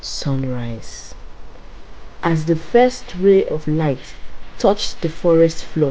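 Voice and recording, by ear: Speaking slowly, a woman with a low pitch and a dark, mellow tone uses lively intonation.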